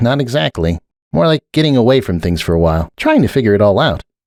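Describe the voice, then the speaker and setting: Doing a put-on character voice at a medium pitch, a man rattles along at a very fast pace in a very clean recording with a silent background. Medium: read story. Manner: soft-spoken, subdued.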